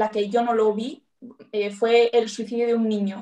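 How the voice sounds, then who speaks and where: A woman's fairly high voice in a monotone, flat intonation. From Basque Country, Bilbao. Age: 20s. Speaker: police officer. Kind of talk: interview.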